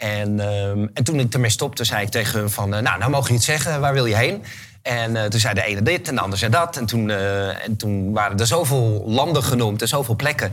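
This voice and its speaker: With music in the background and audible room echo, a man of medium pitch talks at a fairly quick pace with ordinary pitch variation and hardly any pauses. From Netherlands, Haarlem. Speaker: event organizer and author. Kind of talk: interview.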